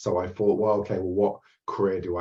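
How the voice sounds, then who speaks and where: A somewhat breathy man with an English accent, fairly low in pitch, at a fairly quick pace. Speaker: therapist and mindset coach. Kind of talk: interview. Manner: halting.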